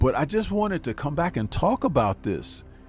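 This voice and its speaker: A man keeps a moderate pace as background music plays. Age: 50s. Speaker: YouTube commentator. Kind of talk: live stream commentary.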